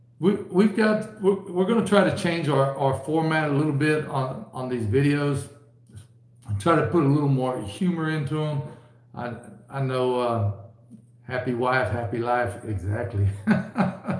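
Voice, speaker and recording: There is audible room echo around the voice. A man delivers his words at a moderate pace. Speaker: livestream host. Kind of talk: casual livestream chat. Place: home room. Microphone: webcam.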